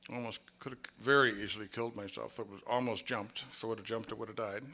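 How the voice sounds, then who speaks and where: Speaking with an American accent, a man moves at a fairly quick pace in a bright, sharp tone. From Minnesota. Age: 60s. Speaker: AA speaker. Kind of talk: recovery testimony.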